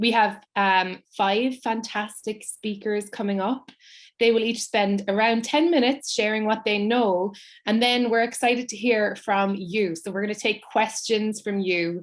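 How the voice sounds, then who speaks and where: Over a quiet background, a woman with an American accent speaks with fairly even intonation. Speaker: writer and performer, event host. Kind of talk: hosting an online panel event. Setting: online live event, video stream.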